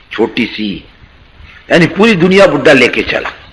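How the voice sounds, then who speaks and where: Over noticeable background noise, a man's voice swings very widely in pitch. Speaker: Islamic preacher. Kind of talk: religious talk, storytelling.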